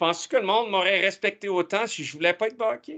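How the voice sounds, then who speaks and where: His pitch sits high for a man. The man's tone is bright, sharp and animated. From Acadian, Nova Scotia (Halifax), also Toronto. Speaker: tech entrepreneur, guest speaker. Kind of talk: guest talk to students. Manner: animated, with frequent stammered repetitions.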